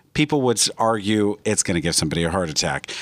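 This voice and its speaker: This man has a plain, everyday voice, with lively intonation and a fairly quick pace. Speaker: radio host, real estate agent. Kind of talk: radio dj patter. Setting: studio. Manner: upbeat, salesy, fast-talking.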